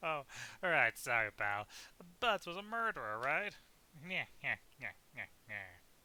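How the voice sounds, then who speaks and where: A man's put-on character voice, fairly high in pitch, at a moderate pace with very wide pitch swings and long, frequent pauses, dry and close with no echo. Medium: game stream. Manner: casual, rambling.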